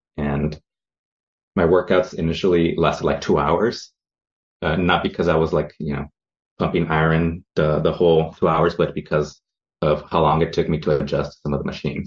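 Pausing long and often, a man with a very deep, low pitch speaks in a monotone, flat intonation. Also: moderate pace. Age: 30s. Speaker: former personal training client, runner. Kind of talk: casual interview. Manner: halting, many fillers.

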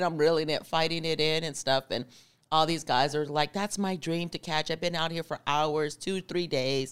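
A woman's fairly low-pitched, plain, everyday voice at a moderate pace, on a very clean recording with a silent background. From Arizona. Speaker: truck driver trainer. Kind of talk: casual interview.

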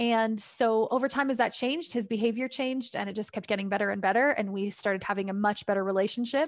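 Over a quiet background, a woman with a Canadian accent talks very fast at a fairly high pitch, hardly pausing. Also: ordinary pitch variation. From Canada. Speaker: parent coach. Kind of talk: casual interview. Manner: hesitant with fillers.

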